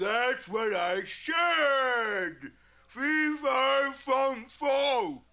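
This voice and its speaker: A high-pitched cartoonish character voice drags along at a very slow pace. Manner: blustering, slow-witted.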